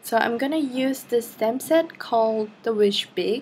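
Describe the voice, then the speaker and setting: A woman at a fairly slow pace. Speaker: card maker. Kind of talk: craft tutorial voiceover. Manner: hesitant, many fillers.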